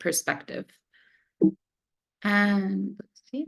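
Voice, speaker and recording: At a very slow pace, a woman of medium pitch talks with an American accent, the sound dry and close with no echo. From United States. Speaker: researcher. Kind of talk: webinar presentation.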